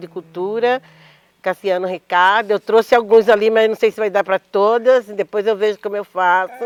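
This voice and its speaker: A woman at medium pitch, fairly even in intonation, with a dry, close sound and no echo. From Mato Grosso, Cuiabá, Brazil. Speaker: poet and actress. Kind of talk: panel discussion.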